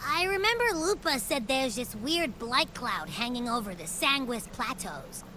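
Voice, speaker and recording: The speaker puts on a character voice with a playful tone. The pace is moderate, with clear background noise. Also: woman, high pitch for a woman. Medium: video game. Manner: chatty, playful.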